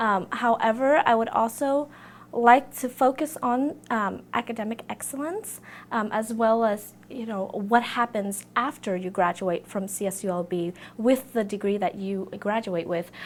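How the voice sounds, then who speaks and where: In a Vietnamese accent, a woman speaks fairly slowly at a fairly high pitch with ordinary pitch variation. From Vietnam, then US. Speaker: student election candidate. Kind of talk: campaign interview. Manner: hesitant, many fillers.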